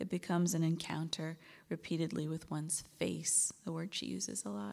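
A woman with a normal speaking voice talks at a moderate pace and a fairly low pitch, on a very clean recording with a silent background. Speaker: reading series host introducing poets. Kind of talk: introduction reading a bio. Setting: live reading at church venue.

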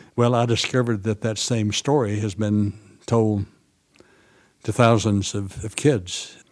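With an Appalachian accent, a man speaks at a fairly slow pace, leaving long, frequent pauses, his intonation fairly even. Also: fairly low pitch for a man. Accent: Southern US, Appalachian. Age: 80s. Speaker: farmer and seed saver. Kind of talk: interview. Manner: halting.

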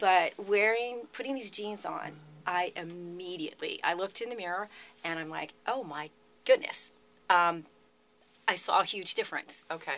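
A woman with a medium pitch speaks at a moderate pace, leaving long, frequent pauses. Her loudness swings widely while her pitch varies in an ordinary way. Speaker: image and style consultant. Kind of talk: radio interview. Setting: radio studio.

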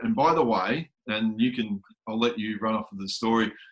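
A man with an Australian accent speaks at medium pitch and a fairly slow pace. His intonation is fairly even. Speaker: podcast host. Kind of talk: casual interview.

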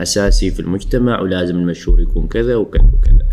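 A man speaks with an Omani accent and ordinary pitch variation. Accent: Omani Arabic, Suwaiq dialect. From Oman, Al Suwaiq. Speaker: social media influencer. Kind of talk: casual interview. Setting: studio. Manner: forceful pronunciation of some words.

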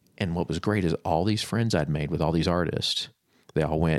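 Speaking at a fairly quick pace, a man with an American accent has a very deep, low pitch with ordinary pitch variation. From Florida. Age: 30s. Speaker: creative professional, former bookstore manager. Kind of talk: casual interview chat.

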